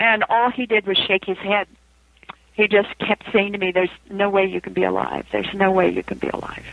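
A woman talks at a fairly quick pace. There is noticeable background noise. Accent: American. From US West, Idaho. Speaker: author and near-death experience researcher. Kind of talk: interview.

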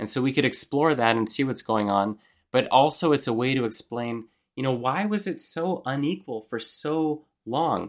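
A man has an unremarkable speaking voice, pitched in the middle range, with lively intonation. The recording is very clean, with a silent background. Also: moderate pace. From Montreal, Canada. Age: 30s. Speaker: journalist and author. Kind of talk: interview.

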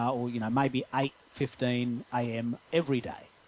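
This man speaks in an Australian accent at a very slow pace. His medium pitch stays monotone and flat. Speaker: podcast guest, social media expert. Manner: conversational, explanatory.

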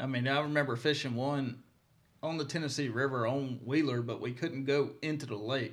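A man with a Mississippi accent talks at a moderate pace with fairly even intonation. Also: medium pitch for a man. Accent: Southern US (Mississippi). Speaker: professional bass angler. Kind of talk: casual interview. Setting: studio.

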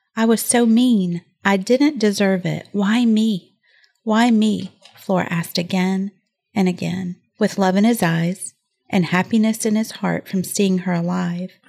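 Her voice is somewhat breathy with a dark, mellow tone, and the woman speaks at a fairly slow pace with fairly even intonation. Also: medium pitch for a woman. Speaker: podcast co-host. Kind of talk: casual chat.

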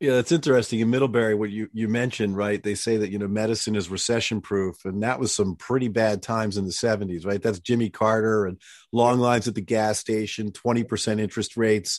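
A man with an ordinary speaking voice, fairly even intonation and hardly any pauses, against a quiet background. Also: fairly low pitch for a man, fairly quick pace. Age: 50s. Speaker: orthopedic surgeon and podcast host. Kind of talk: casual interview chat.

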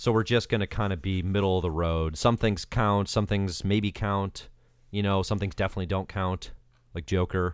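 A man with an American accent has an unremarkable speaking voice, fairly low in pitch, with fairly even intonation. He speaks at a moderate pace on a very clean recording with a silent background. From US state of Georgia. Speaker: comics writer, editor and podcaster. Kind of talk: casual chat.

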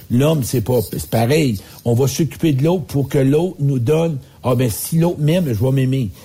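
At a moderate pace and medium pitch, a man speaks in a dark, mellow, somewhat breathy tone with ordinary pitch variation and very even loudness. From Quebec. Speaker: public speaker and life coach. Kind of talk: casual radio chat.

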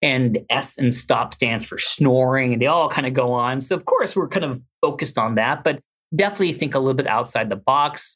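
Fairly quick speech from a man with an American accent, medium in pitch, with ordinary pitch variation. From Southern California, Los Angeles. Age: 40s. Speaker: sleep medicine doctor and professor. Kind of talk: interview, health advice. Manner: animated.

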